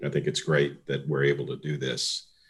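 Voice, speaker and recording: A man's very deep, low voice with vocal fry and monotone, flat intonation. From New Orleans. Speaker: architect, thesis reviewer. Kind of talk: online panel introduction. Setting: video call.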